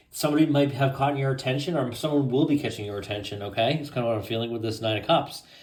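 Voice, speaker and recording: A man talks very fast at a medium pitch, with hardly any pauses. His pitch varies in an ordinary way, and there is noticeable background noise. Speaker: tarot reader. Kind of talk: tarot reading. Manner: casual, conversational.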